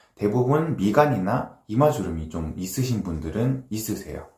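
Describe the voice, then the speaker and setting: Moderately paced, a man speaks in a somewhat breathy voice. His pitch swings very widely. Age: 30s. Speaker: dermatologist. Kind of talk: casual talk to camera. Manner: casual, with filler sounds.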